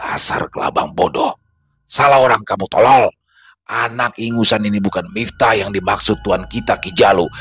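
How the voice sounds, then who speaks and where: Growling in a put-on character voice, a man speaks at a moderate pace and medium pitch. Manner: angry, scornful.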